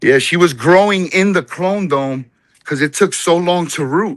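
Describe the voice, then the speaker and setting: With lively intonation, a man in a New Jersey accent talks at a moderate pace. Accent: New Jersey American. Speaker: home cannabis grower. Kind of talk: casual chat. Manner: casual, profane.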